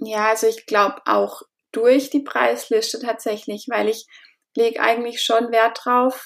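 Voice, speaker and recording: A woman speaks at a fairly slow pace in a fairly high pitch, her intonation monotone and flat and her loudness very even. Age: 20s. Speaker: newborn and family photographer. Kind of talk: interview.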